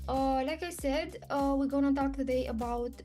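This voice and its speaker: With music in the background, a woman talks in a non-native accent. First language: not English. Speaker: spiritual channeler. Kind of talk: casual talk to camera. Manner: hesitant, with pauses.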